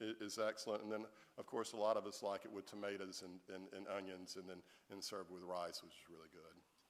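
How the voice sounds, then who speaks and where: A man's fairly low, monotone voice with a Southern US accent, racing at a very fast pace with big swings in loudness. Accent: Southern US (Georgia). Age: 50s. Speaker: author. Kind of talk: audience Q&A. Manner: halting, many repeated words.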